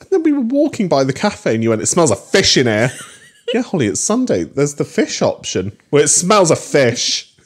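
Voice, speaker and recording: The speech moves at a fairly quick pace with big swings in loudness. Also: man. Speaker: comedy podcast co-host. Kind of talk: casual chat. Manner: animated, laughs often.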